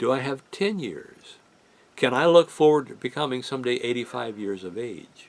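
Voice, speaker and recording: At a fairly slow pace, the voice has vocal fry and very wide pitch swings. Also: man. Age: 70s. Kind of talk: casual religious talk. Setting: home studio in living room.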